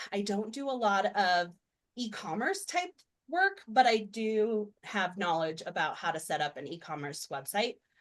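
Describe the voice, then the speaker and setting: The speaker has an unremarkable speaking voice with lively intonation. The pace is fairly slow. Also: woman, medium pitch for a woman. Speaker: web designer presenting a webinar. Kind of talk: webinar presentation. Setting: video call.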